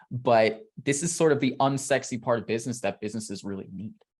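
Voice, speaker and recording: An animated man at a medium pitch and a very fast pace over a quiet background. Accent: New York. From New York City. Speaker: email marketer, interviewee. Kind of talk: interview.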